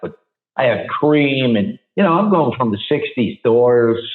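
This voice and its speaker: Speaking at a moderate pace with a New York accent, a man shows ordinary pitch variation. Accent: New York area. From New Jersey. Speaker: rock singer. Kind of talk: interview answer. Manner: casual, candid.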